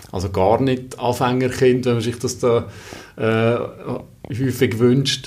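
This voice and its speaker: With audible room echo, a man of medium pitch speaks at a very slow pace in a monotone, flat intonation. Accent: Valais. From Brig, Valais, Switzerland. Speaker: recruiter and father. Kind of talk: casual interview. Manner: frequent hesitations (äh, ähm).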